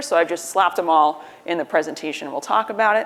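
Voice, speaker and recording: Talking at a very fast pace, a woman with an American accent has a fairly low pitch and ordinary pitch variation, with noticeable background noise behind her. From US, New York. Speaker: tech company recruiter and conference speaker. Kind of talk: conference talk. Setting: conference stage with audience.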